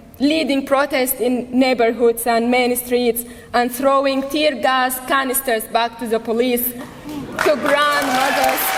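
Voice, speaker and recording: A woman speaks at a high pitch and a fairly slow pace with fairly even intonation, amid noticeable background noise and audible room echo. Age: 30s. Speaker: activist. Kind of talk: rally speech. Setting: stage with audience.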